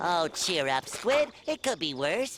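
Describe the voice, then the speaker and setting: In a cartoonish character voice at a middle pitch, the speaker talks at a fairly slow pace. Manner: eager, upbeat.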